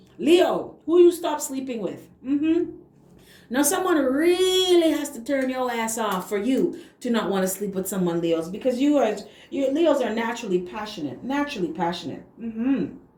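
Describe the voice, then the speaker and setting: Amid noticeable background noise and audible room echo, a woman speaks at a moderate pace in a high voice with very wide pitch swings. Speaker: tarot reader. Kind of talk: tarot reading.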